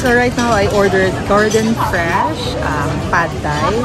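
Very slow speech with a dry sound, no echo, and loud music in the background. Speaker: food vlogger. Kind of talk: casual vlog chat. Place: cafe. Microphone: camera far.

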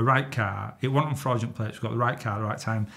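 Speaking at a fairly quick pace, a man with a somewhat breathy voice keeps his intonation fairly even. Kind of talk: interview answer, storytelling. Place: studio.

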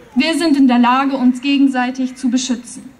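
At a moderate pace, a woman speaks at a high pitch with monotone, flat intonation. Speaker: poetry slam performer. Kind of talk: poetry slam performance at a rally. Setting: outdoors, PA system. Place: stage. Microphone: podium.

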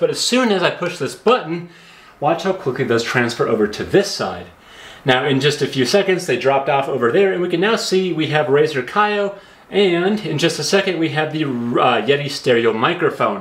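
The speech moves at a moderate pace, with room echo clearly audible. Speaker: tech reviewer. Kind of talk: tutorial. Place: home room.

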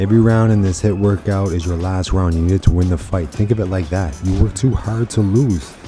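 Over clear music in the background, a man speaks at a fairly quick pace with hardly any pauses. His voice is very deep and low, with ordinary pitch variation and a dry sound with no echo. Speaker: boxing fitness instructor. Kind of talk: workout coaching. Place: gym.

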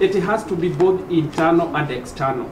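Noticeable background noise surrounds a man speaking high and at a fairly slow pace. His pitch variation is ordinary. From Kenya, Nyeri County; Kenya. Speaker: member of parliament on a panel; panel member. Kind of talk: panel discussion. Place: hall.

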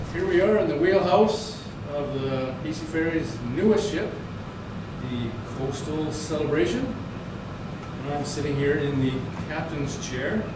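Speaking at a fairly slow pace, a man leaves long, frequent pauses, with ordinary pitch variation. There is audible room echo and noticeable background noise. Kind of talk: casual vlog chat. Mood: playful, excited. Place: boat.

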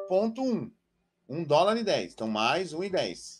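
Pitched high, a man talks with very wide swings in his pitch. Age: 40s. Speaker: trader and trading educator. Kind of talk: live-stream trading lesson. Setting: live stream with chat. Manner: animated, addresses audience directly.

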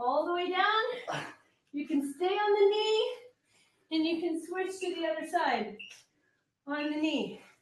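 Against audible room echo, a woman with an extremely high pitch speaks at a fairly slow pace with very wide pitch swings. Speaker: fitness instructor. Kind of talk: workout coaching. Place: gym.

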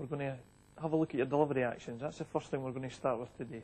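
The intonation stays fairly even as this man talks. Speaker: bowls coach. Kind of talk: tutorial. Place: hall.

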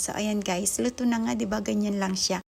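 Her voice somewhat breathy, a woman speaks at a medium pitch with ordinary pitch variation. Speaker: vlogger. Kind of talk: casual cooking vlog.

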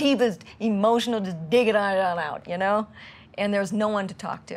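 The speaker moves at a fairly quick pace and sounds somewhat breathy. Pitch varies in an ordinary way. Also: woman. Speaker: interviewee. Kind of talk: interview answer. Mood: reflective, emotional recollection. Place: home room.

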